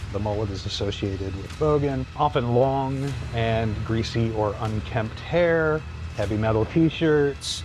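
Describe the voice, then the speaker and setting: A man speaks at a fairly slow pace with lively intonation and a somewhat breathy quality. Audible room echo surrounds his voice. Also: medium pitch for a man. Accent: American. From US Midwest, Ohio. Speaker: psychology lecturer. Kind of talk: podcast interview. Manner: hesitant, many fillers.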